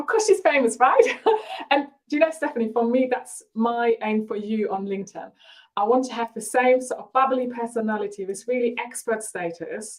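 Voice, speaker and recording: A woman with a German accent speaks at a moderate pace and a high pitch. Her pitch variation is ordinary, while her loudness swings widely. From Germany. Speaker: marketing coach. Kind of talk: live webinar. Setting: live video stream. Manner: energetic.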